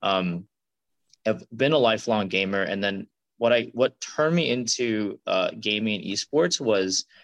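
A man with an unremarkable speaking voice talks at a fairly low pitch with ordinary pitch variation. The sound is dry and close with no echo, against a quiet background. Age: 20s. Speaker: startup co-founder, former gaming program manager. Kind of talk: podcast interview.

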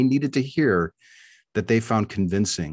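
The speaker moves at a fairly quick pace with very wide pitch swings. The background is quiet. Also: man. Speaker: street epistemology organization director. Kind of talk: panel discussion.

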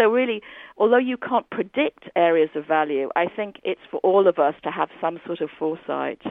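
A woman talks in an ordinary speaking voice at medium pitch. Her pace is moderate and her intonation lively. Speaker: business school professor. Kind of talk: interview.

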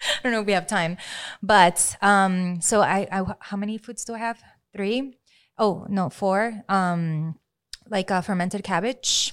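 A woman speaks at a fairly slow pace. Her intonation stays fairly even. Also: medium pitch for a woman, very clean recording, silent background. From Venezuela, Maracaibo. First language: Spanish. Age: 30s. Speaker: health and life coach. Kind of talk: casual interview. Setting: in the studio. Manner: hesitant, many fillers.

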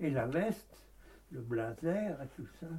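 A man's dark, mellow, somewhat breathy voice moves through very wide pitch swings. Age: 80s+. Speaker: textile shop owner. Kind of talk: casual chat.

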